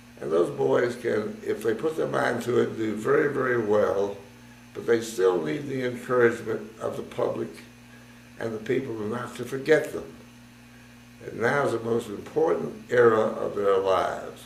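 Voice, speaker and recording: With an American accent, a man speaks at a moderate pace, and audible room echo surrounds his voice. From United States. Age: 80s+. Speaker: war veteran. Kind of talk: testimony.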